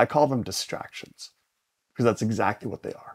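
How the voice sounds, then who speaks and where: A man's unremarkable speaking voice at medium pitch, fairly quick in pace and fairly even in intonation, with a dry, close sound and no echo. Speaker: near-death survivor. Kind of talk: interview.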